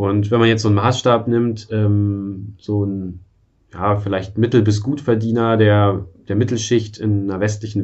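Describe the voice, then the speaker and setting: Here a man has an ordinary speaking voice with a fairly low pitch. He keeps a moderate pace and fairly even intonation. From eastern Germany. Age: 30s. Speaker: software developer and frugality blogger. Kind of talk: casual interview.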